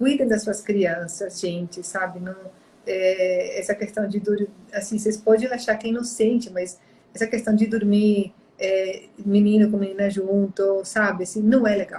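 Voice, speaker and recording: The woman's voice is somewhat breathy and her intonation monotone and flat. She speaks at a fairly slow pace. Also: medium pitch for a woman. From outside Brazil. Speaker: therapist and live-stream host. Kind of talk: live-stream conversation, personal testimony. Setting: online live stream.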